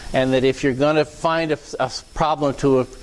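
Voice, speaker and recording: A fairly high-pitched man at a moderate pace, with noticeable background noise. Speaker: technical speaker at user group. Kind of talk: lecture. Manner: loud; halting, many fillers and repeats.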